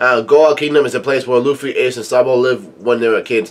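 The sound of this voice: This is an unforced reading voice. Nothing else stands out.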